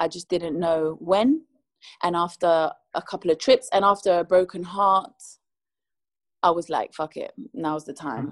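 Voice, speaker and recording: A woman with a London accent speaks at a fairly slow pace and a fairly low pitch, with ordinary pitch variation and long, frequent pauses. The sound is dry and close, with no echo. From London, England. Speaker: singer. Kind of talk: interview.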